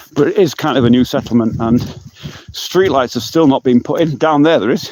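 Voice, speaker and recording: Noticeable background noise sits behind a man with a fairly high voice. He talks at a fairly quick pace with ordinary pitch variation. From England. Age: 50s. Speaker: vlogger. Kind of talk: live stream walk and talk. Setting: outdoors. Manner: loud.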